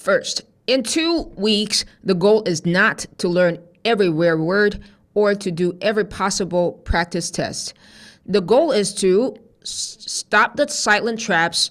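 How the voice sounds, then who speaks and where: A woman with a non-native accent and medium pitch, at a very slow pace, in a very clean recording with a silent background. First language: not English. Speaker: TOEFL teacher. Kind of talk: tutorial.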